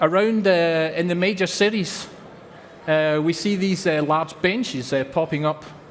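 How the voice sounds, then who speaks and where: Through noticeable background noise, a man with a Scottish accent speaks in a high pitch with fairly even intonation. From Scotland. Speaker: company representative. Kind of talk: conference presentation.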